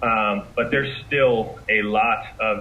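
Amid noticeable background noise, a man talks at a medium pitch with ordinary pitch variation. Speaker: marketing and sales executive. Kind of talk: interview.

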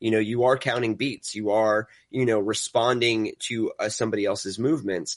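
With an American accent, a man speaks at medium pitch and a moderate pace, barely pausing. His intonation stays fairly even, and the sound is dry and close with no echo. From New York City. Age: 30s. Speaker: content director and YouTuber. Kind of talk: casual interview chat.

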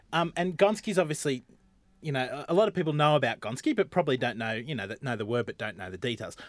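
Speaking very fast with an Australian accent, a man uses a fairly high pitch, very wide pitch swings and big swings in loudness. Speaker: podcast host. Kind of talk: comedic casual chat. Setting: studio.

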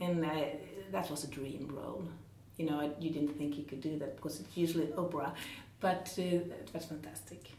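A woman with a Swedish accent speaks at a very deep, low pitch with ordinary pitch variation. Her tone is dark and mellow, and somewhat breathy. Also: moderate pace. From northern Sweden, Jämtland. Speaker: musical theatre actress. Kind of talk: casual interview. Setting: theatre. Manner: halting.

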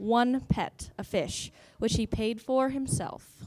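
A woman speaks with an unremarkable speaking voice. Her pitch is fairly high, with ordinary pitch variation. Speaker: student comedian panelist.

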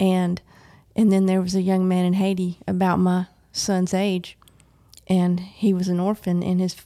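A woman speaks at a moderate pace in an American accent, her medium-pitched voice dark and mellow, with monotone, flat intonation. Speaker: parent of recovering addict. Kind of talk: testimony. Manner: soft-spoken.

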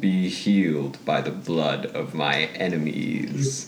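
A man puts on a character voice with a very deep, low pitch. He speaks at a very slow pace over clear background noise. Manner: creepy, ominous, intoning.

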